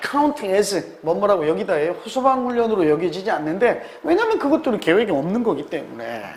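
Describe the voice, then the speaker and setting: Speaking at a high pitch, a man is heard through audible room echo and noticeable background noise. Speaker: English exam tutor. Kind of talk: lecture.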